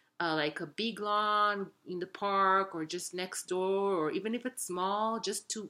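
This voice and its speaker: In a very clean recording with a silent background, a woman with a non-native accent speaks very slowly at a medium pitch, with ordinary pitch variation and a bright, sharp tone. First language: not English. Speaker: wellness vlogger. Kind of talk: casual talk to camera. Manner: halting, with self-corrections.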